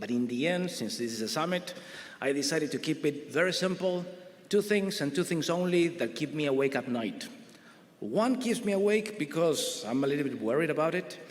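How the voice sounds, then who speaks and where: Over noticeable background noise, a man with an Argentinian accent speaks fairly quickly in a fairly high pitch, his voice swinging very widely. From Argentina. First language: Spanish. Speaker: grid research director, panelist. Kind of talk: conference panel presentation.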